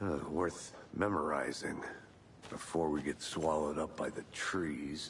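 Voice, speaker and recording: Amid clear background noise, a man puts on a character voice with a very deep, low pitch, speaking at a fairly slow pace with fairly even intonation. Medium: video game. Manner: deadpan.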